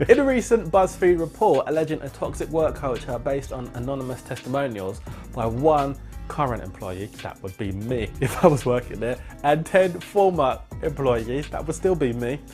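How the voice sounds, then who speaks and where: Music plays in the background as a man speaks at a fairly high pitch and moderate pace in a playful tone. His intonation is lively, with big swings in loudness. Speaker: radio presenter. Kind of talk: gossip radio presenter showreel. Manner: chatty, playful, sarcastic.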